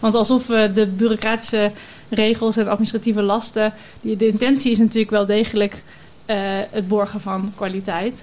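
Her fairly high voice stays monotone and flat as the woman speaks at a moderate pace. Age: 40s. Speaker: consultant. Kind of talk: panel discussion.

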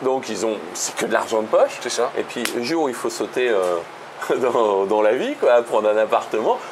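Noticeable background noise runs through the clip. Over it, a man speaks at a moderate pace. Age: 50s. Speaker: real estate investor and financial education author. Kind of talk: casual interview.

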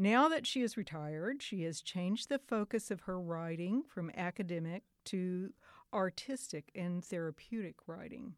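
A plain, everyday voice with lively intonation moves at a moderate pace. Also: woman, medium pitch for a woman. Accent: American. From Oklahoma. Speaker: podcast host and local writer. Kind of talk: casual interview.

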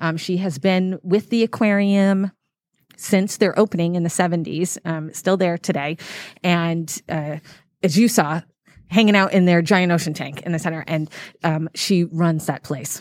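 A woman with an American accent speaks in a plain, everyday voice with fairly even intonation. The sound is dry and close with no echo, in a very clean recording with a silent background. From New England, Massachusetts. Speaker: aquarium animal director. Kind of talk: interview. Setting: on location at aquarium.

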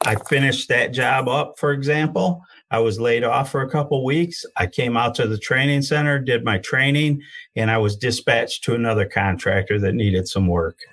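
With a plain, everyday voice, a man speaks at a medium pitch and moderate pace, showing ordinary pitch variation and very even loudness on a very clean recording with a silent background. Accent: American. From Michigan, Genesee County. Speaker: union career and outreach coordinator, heavy equipment operator. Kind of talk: interview.

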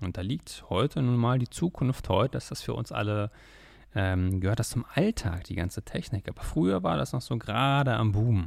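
In a very clean recording with a silent background, a man with an ordinary speaking voice talks at a moderate pace, his fairly low pitch carried by lively intonation. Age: 20s. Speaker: podcast host, trader. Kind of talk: podcast monologue.

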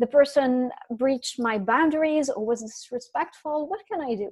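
A woman's high-pitched voice moves with lively intonation. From France and the Middle East (Syria). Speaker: career coach. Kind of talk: casual interview.

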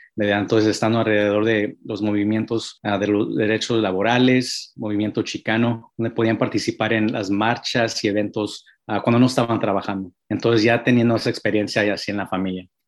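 Against a quiet background, a man with a fairly low pitch talks at a fairly quick pace, his intonation monotone and flat. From California (Hollister, central coast), Mexican-American family. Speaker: civil rights organization youth leader. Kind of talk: interview. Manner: halting, many fillers.

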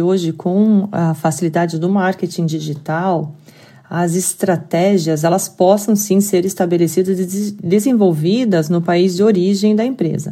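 With a dark, mellow tone, a woman talks at a fairly slow pace and with fairly even intonation. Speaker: payments company executive. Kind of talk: podcast interview.

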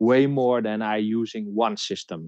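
Speaking with a Dutch accent, a man keeps a medium pitch and fairly even intonation. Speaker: detection dog trainer. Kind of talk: casual interview. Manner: halting.

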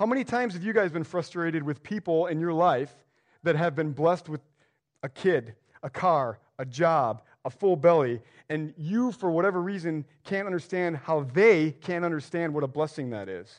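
A man's fairly high pitch and lively intonation at a moderate pace, against a quiet background. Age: 40s. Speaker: guest preacher. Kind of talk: sermon. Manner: casual, halting with fillers.

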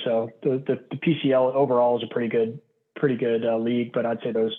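A man's medium-pitched voice in a Pittsburgh accent, very fast and monotone with flat intonation. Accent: Western Pennsylvania (Pittsburgh). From Pittsburgh, Pennsylvania. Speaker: baseball athletic trainer, medical coordinator. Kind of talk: podcast interview.

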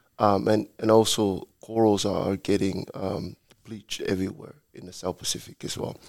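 Speaking with a Samoan accent, the man has a fairly low pitch and flat, monotone intonation, moving at a moderate pace while his loudness swings widely.

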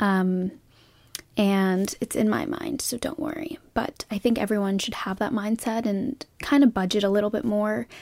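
With a normal speaking voice, a woman at a fairly high pitch talks at a moderate pace, her intonation lively. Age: 20s. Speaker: podcast host. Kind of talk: solo monologue. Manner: casual, filler-heavy.

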